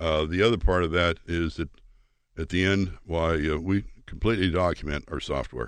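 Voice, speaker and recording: Very deep, low male voice with ordinary pitch variation, a moderate pace and a quiet background. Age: 80s+. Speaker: software company executive. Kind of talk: interview. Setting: studio.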